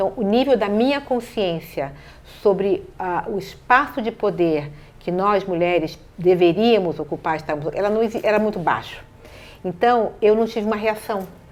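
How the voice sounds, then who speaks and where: A woman's unremarkable speaking voice, medium in pitch, with ordinary pitch variation at a moderate pace. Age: 60s. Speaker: city councillor. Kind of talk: interview.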